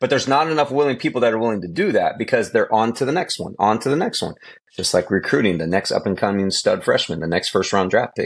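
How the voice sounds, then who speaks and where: With a quiet background behind him, a man speaks at a very fast pace. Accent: Californian. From Southern California (San Bernardino). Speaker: high school football coach and former pro quarterback. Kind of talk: interview.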